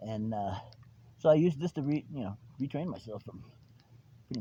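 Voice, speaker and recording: A man talks at a very fast pace with a somewhat breathy, dark, mellow tone. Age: 60s. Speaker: RC hobbyist video host. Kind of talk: casual outdoor demo commentary. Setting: outdoors. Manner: animated.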